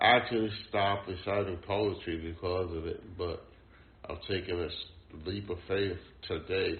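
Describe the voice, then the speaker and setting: The delivery is monotone and flat at a moderate pace, with audible room echo. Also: man, fairly low pitch for a man. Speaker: poet and mental health service user. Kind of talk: interview testimony. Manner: halting.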